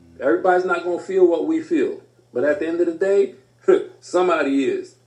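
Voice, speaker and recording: Fairly quick male speech over background music. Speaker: life coach. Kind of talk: radio talk show. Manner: casual, animated.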